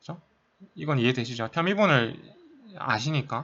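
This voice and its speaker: With a bright, sharp tone, a man speaks at a fairly high pitch and a fairly quick pace. His intonation is lively, and the background is quiet. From South Korea. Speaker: math tutor, undergraduate student. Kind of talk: tutorial. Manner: casual, with many fillers.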